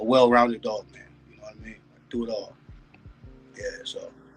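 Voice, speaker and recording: Medium-pitched male speech at a fairly quick pace, with music in the background. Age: 40s. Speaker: dog breeder. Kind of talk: podcast interview. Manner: halting with many fillers.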